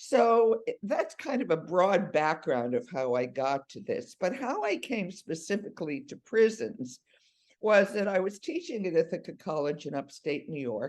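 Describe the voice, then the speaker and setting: This woman's voice sits at a medium pitch but swings very widely, with vocal fry and big shifts in loudness. She keeps a moderate pace. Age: 70s. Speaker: professor and prison restorative justice worker. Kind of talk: interview presentation with slides.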